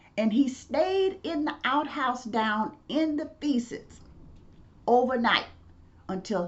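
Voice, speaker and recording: A woman with a Mississippi accent speaks very slowly in a somewhat breathy voice. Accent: US Southern, Mississippi. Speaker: professor and civil rights activist. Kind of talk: storytelling lecture.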